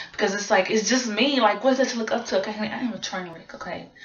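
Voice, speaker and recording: A woman talks at a fairly quick pace and medium pitch, with audible room echo and noticeable background noise. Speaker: vlogger and singer. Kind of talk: casual vlog monologue. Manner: fast; halting.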